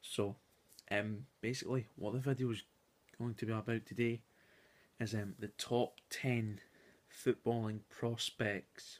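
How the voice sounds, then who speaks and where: Soft-spoken, a man talks at medium pitch with fairly even intonation. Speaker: youtuber. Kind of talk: casual video commentary. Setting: at home at night. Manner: soft-spoken, talking quietly; hesitant with many fillers.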